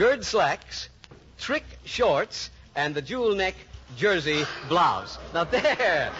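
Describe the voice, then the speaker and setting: A man talks at a high pitch with very wide pitch swings, at a very slow pace. Long, frequent pauses break up his speech over noticeable background noise. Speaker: radio show host. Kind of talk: radio game show host interview.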